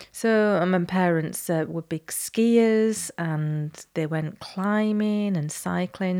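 A woman talks at a very slow pace in a dark, mellow tone with a British accent. Her pitch variation is ordinary. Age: 60s. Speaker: podcast co-host, nutritionist and yoga teacher. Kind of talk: casual chat.

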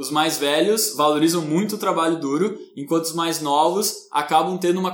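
Audible room echo surrounds the speech. The pace is moderate and the intonation fairly even. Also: man. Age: 20s. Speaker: podcast co-host. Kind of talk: casual discussion.

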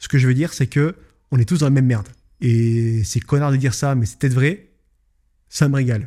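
Speaking at a fairly quick pace with long, frequent pauses, a man uses a dark, mellow tone, medium pitch and ordinary pitch variation. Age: 20s. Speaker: podcast host and business owner. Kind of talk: solo podcast monologue. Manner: casual, hesitant with fillers.

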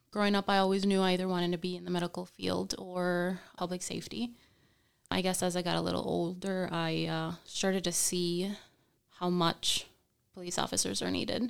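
With a Spanish accent, the speaker talks at a fairly quick pace on a very clean recording with a silent background. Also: woman. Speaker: police officer. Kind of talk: interview.

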